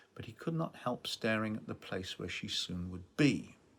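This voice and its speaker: A man with a British accent, at a moderate pace. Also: very clean recording, silent background. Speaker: novelist. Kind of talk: author reading from own novel.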